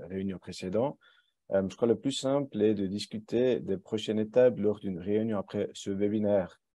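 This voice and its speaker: Against a quiet background, a man with a non-native accent speaks at a fairly slow pace and a fairly low pitch, in a dark, mellow tone with ordinary pitch variation. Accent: foreign accent in French. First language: German (speaking French). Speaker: company co-founder and director presenting software. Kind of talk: webinar presentation with Q&A. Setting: online webinar. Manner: hesitant, many filler sounds.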